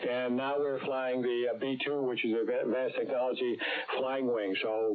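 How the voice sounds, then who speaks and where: Through noticeable background noise and audible room echo, a man of medium pitch talks at a moderate pace. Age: 80s+. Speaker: retired aerospace engineer, amateur radio operator. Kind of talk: ham radio roundtable chat. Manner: halting, many fillers.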